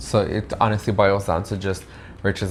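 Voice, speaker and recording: Noticeable background noise runs under the recording. A man speaks at a fairly low pitch. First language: Spanish. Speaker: podcast co-host. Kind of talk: casual chat.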